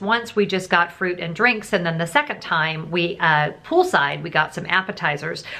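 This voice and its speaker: A woman talks at a moderate pace, her pitch varying in an ordinary way. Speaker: travel vlogger. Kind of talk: casual vlog chat. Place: home room.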